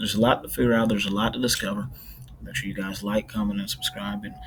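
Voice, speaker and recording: Soft-spoken and fairly low in pitch, a man speaks at a very fast pace with ordinary pitch variation as music plays in the background. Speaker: weather video creator. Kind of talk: casual weather update. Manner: halting.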